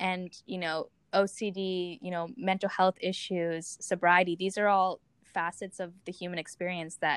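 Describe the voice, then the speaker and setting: A woman at medium pitch, fairly even in intonation, with an unremarkable speaking voice. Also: dry, close sound with no echo. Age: 20s. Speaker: podcast host. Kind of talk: interview.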